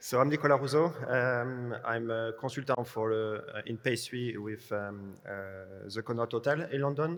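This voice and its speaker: A man with a French accent talks at medium pitch with ordinary pitch variation. His pace is fairly slow, yet he hardly pauses. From France. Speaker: pastry chef, consultant. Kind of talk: panel discussion.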